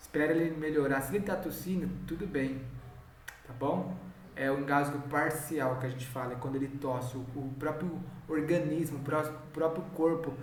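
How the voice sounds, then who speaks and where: With noticeable background noise and audible room echo, the delivery keeps a fairly even intonation. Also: man, fairly high pitch for a man, moderate pace. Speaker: home care nurse supervisor trainer. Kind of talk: training lecture.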